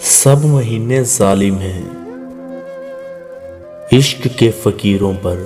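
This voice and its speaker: A man's fairly low voice with ordinary pitch variation over music in the background. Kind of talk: poetry reading.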